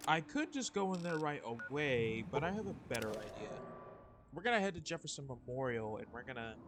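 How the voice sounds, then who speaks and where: Loud and fairly quick, a man speaks at a fairly high pitch with very wide pitch swings over noticeable background noise. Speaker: gaming streamer. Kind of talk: live gameplay commentary. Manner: casual, rambling with fillers.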